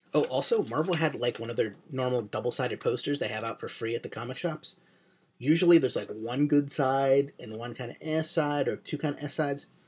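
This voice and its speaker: A man with an American accent talks at a fairly quick pace in a fairly high pitch. His voice is somewhat breathy, with ordinary pitch variation. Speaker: comic book reviewer. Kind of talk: video review monologue. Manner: ranty.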